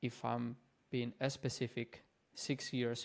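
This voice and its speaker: A man with a non-native accent at a medium pitch, in a monotone, flat intonation and at a very slow pace. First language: not English. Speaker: fitness and mindset coach. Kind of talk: casual vlog talk to camera. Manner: casual, informal.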